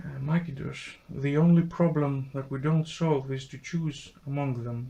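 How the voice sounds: At a fairly slow pace, a man with a medium pitch speaks in a dark, mellow tone with vocal fry and fairly even intonation.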